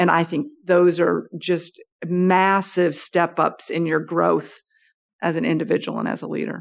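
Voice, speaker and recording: A woman's fairly low voice with vocal fry, fairly even intonation and a fairly slow pace, on a very clean recording with a silent background. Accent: American. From United States. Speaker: business executive. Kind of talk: interview. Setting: office.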